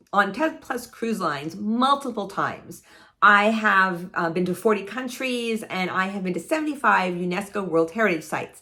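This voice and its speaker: Her tone animated and her intonation lively, a woman speaks at a medium pitch and a moderate pace. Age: 60s. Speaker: travel vlogger. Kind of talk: casual vlog monologue. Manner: halting.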